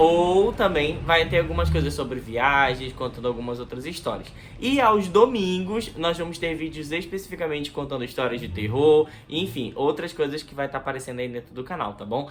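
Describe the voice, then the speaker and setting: Against noticeable background noise, a man with a Manaus accent talks at a moderate pace with hardly any pauses, using lively intonation at a fairly high pitch and big swings in loudness. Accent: Manaus accent, strong hissing S. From Brazil, Manaus (Amazonas). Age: 20s. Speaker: YouTuber. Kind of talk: casual vlog talk to camera. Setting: bedroom near the street.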